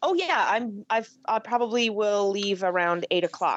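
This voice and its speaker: A woman with a normal speaking voice talks at a moderate pace and medium pitch, with ordinary pitch variation. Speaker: podcast co-host. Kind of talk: casual chat. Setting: remote video or phone call.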